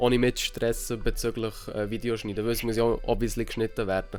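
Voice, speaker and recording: A man talks very fast at a medium pitch. Music plays in the background. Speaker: vlogger. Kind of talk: casual talk to camera.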